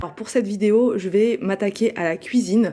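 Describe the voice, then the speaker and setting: Fairly quick and fairly even in intonation, a woman speaks at a fairly high pitch with a dark, mellow tone. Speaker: home cleaning vlogger. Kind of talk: casual voiceover tutorial. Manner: hesitant, many fillers.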